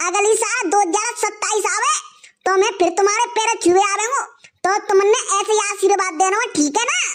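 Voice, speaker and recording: Pitched extremely high, a cartoonish character voice moves along at a moderate pace. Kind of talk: rustic cartoon comedy. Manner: cheeky, playful.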